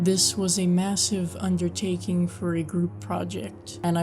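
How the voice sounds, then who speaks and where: Music plays behind the speaker. She is a woman talking at a moderate pace. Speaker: horror story narrator. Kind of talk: video introduction.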